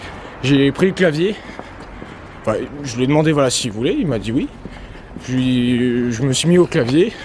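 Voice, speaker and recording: A man with a fairly high voice speaks at a fairly slow pace with ordinary pitch variation. Long, frequent pauses break up his speech, and noticeable background noise is present. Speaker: vlogger. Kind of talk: casual vlog narration. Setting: outdoors walking near a road. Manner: halting, many fillers.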